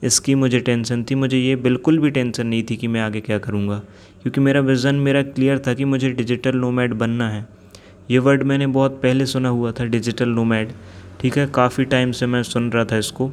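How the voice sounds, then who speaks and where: A man's flat, monotone intonation holds through speech at a moderate speed. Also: medium pitch for a man. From India, Jabalpur, Madhya Pradesh. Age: 20s. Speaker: podcaster. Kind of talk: personal storytelling monologue. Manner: unscripted, spontaneous.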